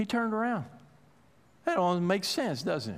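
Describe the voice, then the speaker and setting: A man speaks with a high pitch at a moderate pace. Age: 50s. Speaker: pastor. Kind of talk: sermon.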